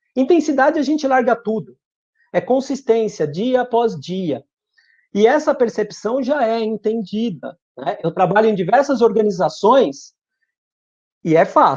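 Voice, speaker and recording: Using lively intonation, a man with a high pitch talks at a fairly slow pace with long, frequent pauses. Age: 50s. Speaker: business speaker.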